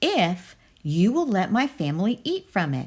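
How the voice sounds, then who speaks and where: A woman performs a put-on character voice at medium pitch. She is soft-spoken, with very wide pitch swings. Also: moderate pace. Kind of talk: bedtime story. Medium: read story. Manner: calm, soft-spoken.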